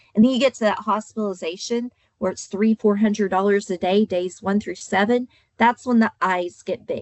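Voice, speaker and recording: A woman speaks in an Oklahoma accent at a medium pitch, with ordinary pitch variation. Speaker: insurance agent trainer. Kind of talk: training webinar.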